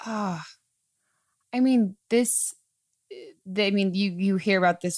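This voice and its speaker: A woman speaks with ordinary pitch variation. The recording is very clean with a silent background, and the sound is dry and close with no echo. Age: 20s. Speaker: podcast host and actress. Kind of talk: casual chat. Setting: studio. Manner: animated.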